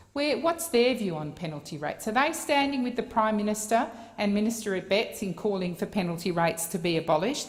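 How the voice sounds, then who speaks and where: Speaking at a fairly quick pace with an Australian accent, a woman uses a medium pitch with very wide pitch swings while noticeable background noise runs underneath. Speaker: senator. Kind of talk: parliamentary speech. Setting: Senate chamber. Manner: formal.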